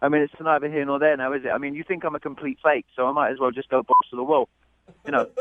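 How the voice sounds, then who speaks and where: A man's fairly high voice at a very fast pace. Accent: British. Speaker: dinner date. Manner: hesitant, halting.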